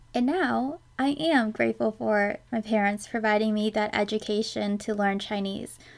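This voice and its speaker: A woman speaks in a plain, everyday voice at a fairly high pitch with ordinary pitch variation. Her pace is moderate, with hardly any pauses. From United States, immigrated from China at four. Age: 20s. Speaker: podcast host. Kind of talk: solo monologue podcast. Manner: conversational.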